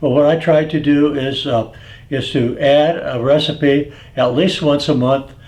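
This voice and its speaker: Fairly high male voice, flat and monotone, at a fairly slow pace over noticeable background noise. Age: 80s+. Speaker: seasoning business owner. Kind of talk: casual talk to camera. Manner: halting, many filler words.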